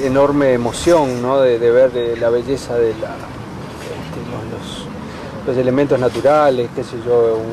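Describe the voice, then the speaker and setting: Someone with a Rioplatense accent speaks in a monotone, flat intonation over noticeable background noise. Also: man. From Uruguay. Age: 50s. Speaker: writer and university lecturer. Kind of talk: interview. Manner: hesitant, many fillers.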